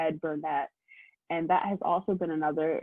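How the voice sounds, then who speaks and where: A woman's fairly low voice with fairly even intonation, in a Philadelphia accent. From US Northeast, Philadelphia. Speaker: law student. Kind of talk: presentation to prospective students.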